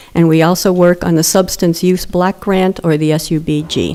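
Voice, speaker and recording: A woman speaks at a moderate pace with fairly even intonation. Noticeable background noise runs beneath her. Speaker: prevention grant coordinator. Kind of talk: public meeting presentation. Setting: council chamber podium.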